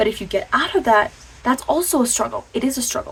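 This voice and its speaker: Amid noticeable background noise, a woman talks at a fairly quick pace with lively intonation. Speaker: motivational vlogger. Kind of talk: casual motivational talk to camera. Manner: animated; stuttering at times.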